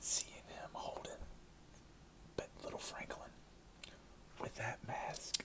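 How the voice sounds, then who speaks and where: A man whispers in a relaxed tone at a very slow pace. Long, frequent pauses break up his words. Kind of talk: ASMR movie review, casual talk. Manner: soft-spoken, relaxed.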